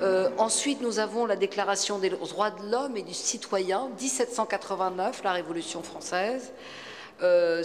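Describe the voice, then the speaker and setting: A woman's medium-pitched voice with ordinary pitch variation at a fairly slow pace, amid noticeable background noise and audible room echo. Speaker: media regulator, former TV news presenter. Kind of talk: conference talk. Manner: hesitant.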